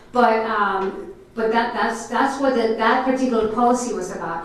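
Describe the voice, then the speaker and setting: Over noticeable background noise and audible room echo, a woman with a Spanish accent speaks at a moderate pace in a fairly high voice. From Puerto Rico. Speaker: school board member. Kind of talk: public meeting remarks. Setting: school board meeting. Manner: halting, many fillers.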